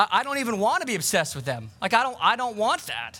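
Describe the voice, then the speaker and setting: A man's high, bright, sharp voice is raised and projected as he speaks at a fairly quick pace. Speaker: pastor. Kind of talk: sermon. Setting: outdoors; church. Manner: loud.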